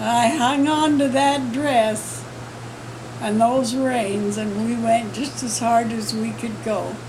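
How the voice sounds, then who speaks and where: Noticeable background noise runs under a woman speaking at a very slow pace. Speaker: ranch woman. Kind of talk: interview answer.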